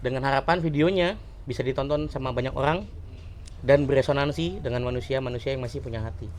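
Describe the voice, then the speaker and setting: A man with vocal fry speaks at a very fast pace. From Indonesia, Pesawaran, Lampung. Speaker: podcast co-host. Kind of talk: casual chat.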